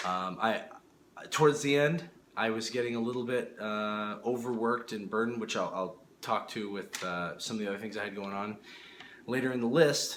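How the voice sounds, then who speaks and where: A man speaks at a moderate pace in a medium pitch. Noticeable background noise and audible room echo surround him. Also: ordinary pitch variation. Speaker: miniature sculptor and YouTuber. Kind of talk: casual vlog update. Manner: halting, many fillers and restarts.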